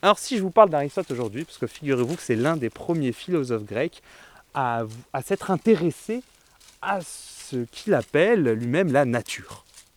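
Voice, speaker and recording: A man speaks at a moderate pace with a fairly high pitch. His pitch swings very widely, and the sound is dry and close with no echo. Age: 20s. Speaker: philosopher and mountain writer. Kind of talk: interview; lecture on a philosophy walk.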